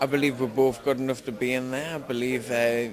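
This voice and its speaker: Over crowd noise in the background, the voice holds a fairly even intonation. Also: man. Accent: strong Geordie. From northern England, Newcastle. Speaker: MMA fighter. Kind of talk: interview.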